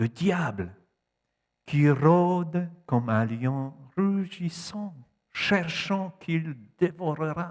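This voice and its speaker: A man speaks with a Polish accent. His pitch swings very widely. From Poland. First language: Polish (speaking French). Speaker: preacher. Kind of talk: sermon. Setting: church.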